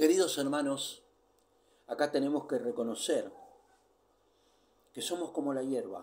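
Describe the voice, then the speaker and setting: Fairly slow and broken by long, frequent pauses, a man speaks with a fairly high pitch and ordinary pitch variation. Room echo can be heard. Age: 60s. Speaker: preacher. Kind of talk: sermon.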